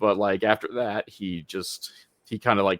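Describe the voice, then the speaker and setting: A man is speaking here. The sound is dry and close, with no echo. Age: 40s. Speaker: wrestling podcast host. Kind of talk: casual chat. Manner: halting, many false starts.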